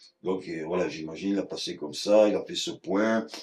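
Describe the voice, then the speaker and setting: With lively intonation and a fairly low pitch, a man talks at a moderate pace. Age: 60s. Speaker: basket maker. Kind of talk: craft demonstration interview. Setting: workshop. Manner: casual, hesitant with repetitions.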